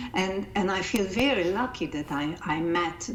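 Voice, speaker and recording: In a Hungarian accent, a woman talks at a medium pitch with ordinary pitch variation, over noticeable background noise and audible room echo. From Hungary. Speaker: life coach and coaching-method founder. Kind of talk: interview. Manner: halting, repeats words.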